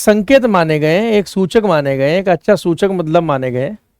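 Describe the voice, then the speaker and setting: Dry and close with no echo, a man's voice swings very widely in pitch. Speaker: teacher. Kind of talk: online lecture.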